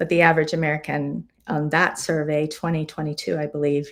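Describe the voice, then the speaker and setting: An ordinary speaking voice moves at a fairly quick pace. The recording is very clean, with a silent background. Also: woman. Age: 60s. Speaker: physician. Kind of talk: live-streamed health talk. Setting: live stream. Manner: conversational.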